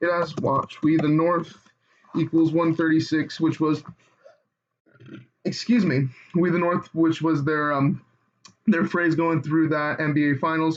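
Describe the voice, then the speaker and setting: With a fairly high pitch, a man speaks at a moderate pace in a monotone with flat intonation, very even loudness, and long, frequent pauses. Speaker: online conspiracy video maker. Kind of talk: casual explainer tutorial. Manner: halting, stuttering; choppy.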